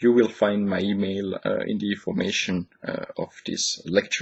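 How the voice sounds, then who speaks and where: A man speaks with a non-native accent. His pitch is fairly low and his pace fairly slow. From Switzerland. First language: not English. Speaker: lecturer. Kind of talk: recorded lecture. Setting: home office. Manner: hesitant, many fillers.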